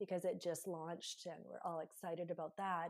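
A woman speaks with a Canadian accent. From Canada. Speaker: podcast host. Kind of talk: casual interview chat. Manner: halting, searching for words.

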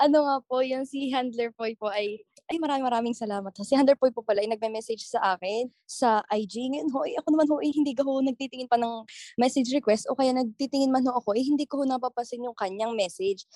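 Speaking at a very fast pace, a woman uses a high pitch and a dark, mellow tone with ordinary pitch variation. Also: hardly any pauses, dry, close sound with no echo. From Batangas, Philippines. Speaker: TikTok content creator. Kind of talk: interview.

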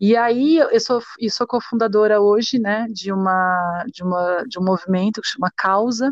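A woman with an unremarkable speaking voice talks at a fairly slow pace with ordinary pitch variation. The sound is dry and close with no echo, over a quiet background. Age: 30s. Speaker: dancer and arts educator, feminist activist. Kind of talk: interview.

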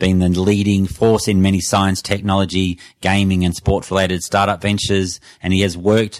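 At a moderate pace, a man with an Australian accent speaks in a very deep, low pitch. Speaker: podcast interviewer. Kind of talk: interview.

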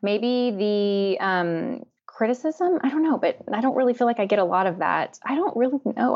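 A woman speaks in an ordinary speaking voice. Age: 30s. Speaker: beauty YouTuber and makeup artist. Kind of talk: casual interview.

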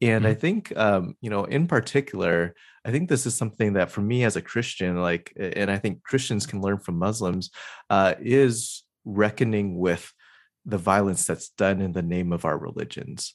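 A plain, everyday voice speaks at a moderate pace in an American accent. Its pitch varies in an ordinary way against a quiet background. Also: man, fairly low pitch for a man. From Southern California. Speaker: podcast host. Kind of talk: interview conversation.

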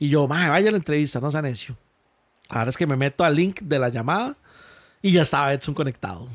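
On a very clean recording with a silent background, a man with a fairly high pitch talks at a very fast pace. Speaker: gaming event organizer. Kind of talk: interview storytelling. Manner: halting.

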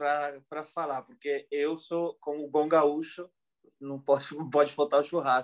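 The man's voice sits fairly high. He talks rather slowly. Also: dry, close sound with no echo. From southern Brazil, Porto Alegre area. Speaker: podcaster and event organizer. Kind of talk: casual chat. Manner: halting, with many repetitions.

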